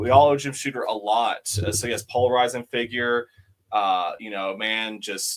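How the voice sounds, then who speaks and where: A man with an ordinary speaking voice, medium in pitch, at a moderate pace with fairly even intonation and big swings in loudness. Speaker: comic shop co-host. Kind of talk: casual chat.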